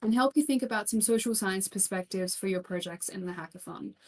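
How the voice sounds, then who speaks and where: This woman talks with an Australian accent and ordinary pitch variation. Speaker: keynote speaker, criminologist. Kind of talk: keynote talk. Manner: animated.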